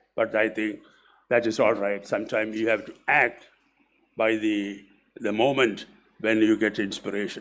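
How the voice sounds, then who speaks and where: Speaking at a moderate pace with long, frequent pauses, a man with a fairly low pitch keeps a monotone, flat intonation. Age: 80s+. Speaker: retired school principal. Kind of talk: speech at an event.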